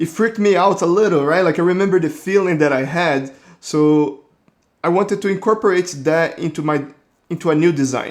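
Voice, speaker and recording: With a Brazilian accent, a man talks at a high pitch. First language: Portuguese. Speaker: 3D artist. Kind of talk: casual narration.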